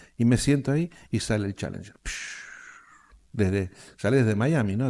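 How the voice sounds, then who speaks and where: A man talks at a fairly quick pace in a medium pitch with ordinary variation. The background is quiet. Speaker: world motorcycle traveler. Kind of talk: interview. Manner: animated storytelling.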